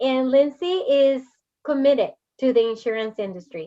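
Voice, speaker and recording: Her pitch shows ordinary variation. The woman keeps to a fairly slow pace. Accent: Spanish. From Puerto Rico. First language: Spanish. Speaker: podcast host. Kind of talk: interview.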